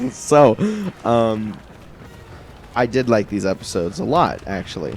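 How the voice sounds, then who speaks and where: Music plays behind a man who speaks fairly slowly at a fairly low pitch with lively intonation. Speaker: gaming channel co-host. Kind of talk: casual chat while gaming. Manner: loud.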